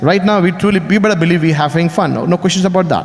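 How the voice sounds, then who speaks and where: A man speaks with an Indian accent. Noticeable background noise can be heard. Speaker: business speaker. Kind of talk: motivational speech.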